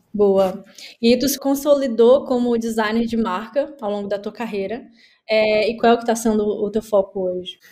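This woman's fairly high voice has a dark, mellow tone. She keeps a moderate pace and fairly even intonation. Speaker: podcast host. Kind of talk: casual interview chat.

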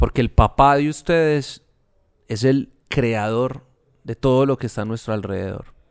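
A man speaks at a fairly slow pace in a medium pitch, with ordinary pitch variation and a plain, everyday voice. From Colombia, Medellín. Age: 30s. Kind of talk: casual faith conversation.

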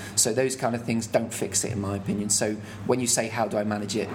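There is audible room echo and noticeable background noise as a fairly low-pitched man talks at a very fast pace. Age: 30s. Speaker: chef and restaurant owner. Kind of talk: interview. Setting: restaurant mezzanine.

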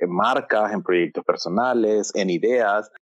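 This man talks at a fairly slow pace. The sound is dry and close, with no echo. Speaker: podcast co-host, marketing consultant. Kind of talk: casual conversational storytelling.

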